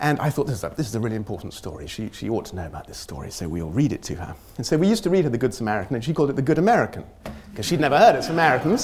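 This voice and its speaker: Over noticeable background noise, a man with a British accent talks at a very fast pace with very wide pitch swings. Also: medium pitch for a man. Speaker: humanitarian researcher and lecturer. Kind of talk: academic lecture. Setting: lecture hall with audience.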